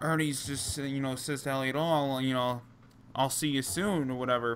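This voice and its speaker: With a New Jersey accent, a man speaks at a moderate pace in a fairly high pitch, his intonation fairly even and broken by long, frequent pauses. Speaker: wrestling podcast host. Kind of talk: casual chat. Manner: halting, many fillers.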